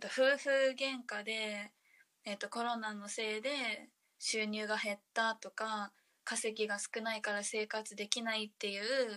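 Speech comes at a fairly slow pace with a bright, sharp tone. The intonation stays monotone and flat. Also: woman, fairly high pitch for a woman. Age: 20s. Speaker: social media co-creator, flight industry worker. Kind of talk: casual chat.

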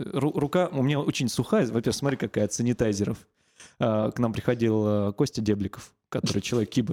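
A man speaks at a moderate pace with a dark, mellow tone and a medium pitch that shows ordinary variation. The sound is dry and close with no echo, in a very clean recording with a silent background. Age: 30s. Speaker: podcast host, regional radio host. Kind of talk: casual chat.

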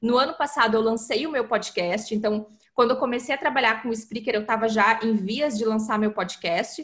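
In a normal speaking voice, a woman with a fairly high pitch talks at a moderate pace with hardly any pauses and ordinary pitch variation. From southern Brazil, Porto Alegre. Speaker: content marketing specialist. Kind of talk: interview. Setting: remote call across continents.

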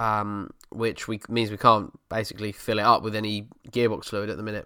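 A man talks in a bright, sharp tone with an Essex accent. The recording is very clean, with a silent background. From Essex, England. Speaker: car enthusiast podcast host and YouTuber. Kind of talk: solo casual chat answering listener questions. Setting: home setup at computer desk in living room.

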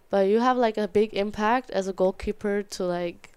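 A woman with a German accent and fairly even intonation. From Germany, small town. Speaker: college soccer goalkeeper. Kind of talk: interview. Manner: halting.

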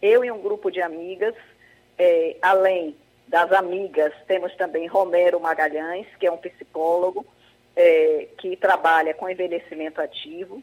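At a fairly slow pace, a plain, everyday voice speaks with fairly even intonation. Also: woman, medium pitch for a woman. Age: 60s. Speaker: project founder, retiree. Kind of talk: radio interview.

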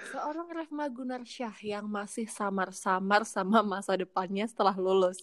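At a moderate pace, a woman with a medium pitch speaks in an animated tone, her intonation lively and her loudness swinging widely. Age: 20s. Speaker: podcast host. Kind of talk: casual chat.

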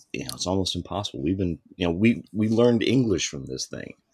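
A man's voice, dry and close with no echo, in a very clean recording with a silent background. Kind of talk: casual chat. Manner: halting, filler words.

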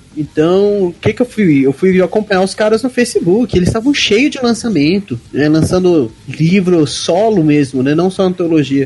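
A high-pitched man speaks at a moderate pace with lively intonation and hardly any pauses. There is noticeable background noise. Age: 20s. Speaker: fantasy author. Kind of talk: casual chat.

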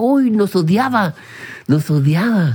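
With noticeable background noise present, a man speaks at a moderate pace with very wide pitch swings. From Chile, Viña del Mar/Valparaíso. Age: 40s. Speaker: podcast co-host. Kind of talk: casual chat. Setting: studio. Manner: animated.

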